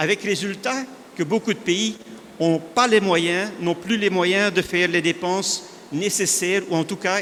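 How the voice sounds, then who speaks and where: A man with a Flemish accent talks fairly slowly in a high voice with fairly even intonation. Noticeable background noise is present. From northern Belgium (Flanders). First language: Dutch (speaking French). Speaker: industry analyst speaker. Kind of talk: conference presentation.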